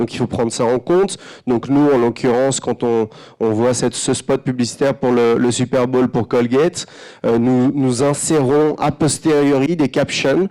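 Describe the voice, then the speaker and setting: Medium-pitched male voice, dark and mellow in tone. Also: fairly even intonation, fairly slow pace, very even loudness. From France. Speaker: advertising creative director. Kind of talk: conference talk. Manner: hesitant, many fillers and repetitions.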